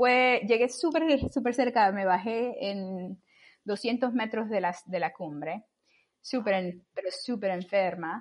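Her intonation lively and her pitch fairly high, a woman speaks at a very slow pace. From Cuba, Camagüey. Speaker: astrophysicist and mountaineer. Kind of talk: interview.

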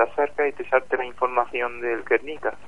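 A man's fairly high, monotone, flat voice at a moderate pace, with an Andalusian accent. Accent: Córdoba Andalusian. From Córdoba, Spain. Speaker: contest winner, student. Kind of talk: casual radio interview.

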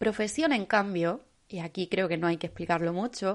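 A woman with a plain, everyday voice speaks at a fairly quick pace and a medium pitch, with ordinary pitch variation against a quiet background. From Spain, Almería. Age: 20s. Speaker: podcast host. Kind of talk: solo motivational podcast monologue.

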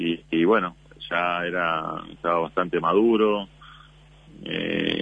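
Noticeable background noise sits behind a man whose very deep, low voice holds fairly even intonation. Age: 30s. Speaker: basketball player. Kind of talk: radio interview.

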